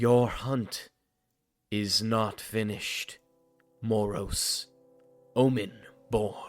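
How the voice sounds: A man speaks very slowly in a put-on character voice, his pitch medium. His intonation stays monotone and flat, with faint music in the background.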